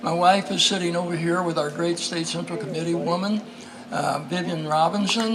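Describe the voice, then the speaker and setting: Moderate pace and ordinary pitch variation, with audible room echo and noticeable background noise. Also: man. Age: 80s+. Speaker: former congressman, political speaker. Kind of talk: political speech. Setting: outdoors at a picnic. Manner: energetic, inspirational.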